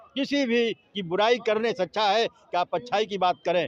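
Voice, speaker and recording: A man talks with a high pitch and ordinary pitch variation. The sound is dry and close, with no echo. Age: 60s. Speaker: retired engineer, political supporter. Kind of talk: street interview.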